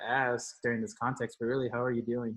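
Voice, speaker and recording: A man at a medium pitch and a fairly quick pace. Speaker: podcast host and professor. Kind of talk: interview conversation. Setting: home recording space, remote call. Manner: loud, raises voice.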